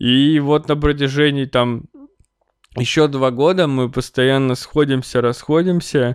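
At a very slow pace, a man with a fairly high pitch keeps very even loudness and fairly even intonation. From Russia, Chelyabinsk (Urals). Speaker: podcaster. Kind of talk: casual monologue. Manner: hesitant, many fillers.

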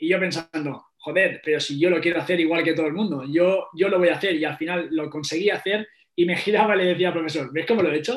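Words come at a very fast pace with hardly any pauses. The intonation stays fairly even. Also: man, high pitch for a man. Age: 20s. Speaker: strength coach. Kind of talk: interview. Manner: halting.

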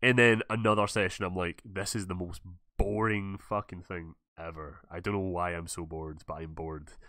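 Heard on a very clean recording with a silent background, a man with a Scottish accent and a very deep, low voice speaks at a moderate pace in a bright, sharp tone, his loudness swinging widely. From Scotland. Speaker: podcast host and gaming YouTuber. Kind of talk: casual interview chat. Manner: animated.

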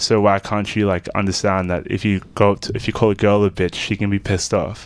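With an Australian accent, a man speaks at a fairly quick pace in a fairly low pitch and fairly even intonation. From Australia, Melbourne southeast suburbs. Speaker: musician. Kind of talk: casual chat.

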